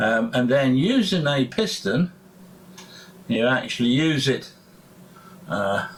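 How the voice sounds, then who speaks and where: Very wide pitch swings in a man's voice. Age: 70s. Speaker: hobbyist motorcycle restorer. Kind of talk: tutorial. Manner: halting, many fillers.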